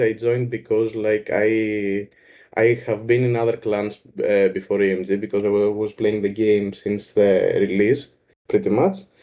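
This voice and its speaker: A man with a Greek accent at a moderate pace. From Greece. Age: 20s. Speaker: gaming clan member. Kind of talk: casual chat. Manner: halting.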